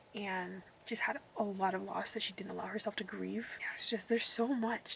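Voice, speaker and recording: A woman speaks at a fairly quick pace. Noticeable background noise can be heard. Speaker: booktuber. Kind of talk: casual reading vlog talk. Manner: rambling, fast chatty.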